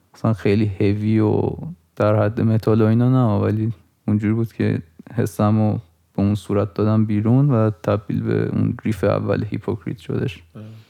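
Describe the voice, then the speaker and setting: Speaking at a moderate pace, a man with a fairly low pitch has a dark, mellow tone and monotone, flat intonation. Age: 20s. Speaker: podcast co-host and music producer. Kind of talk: casual chat.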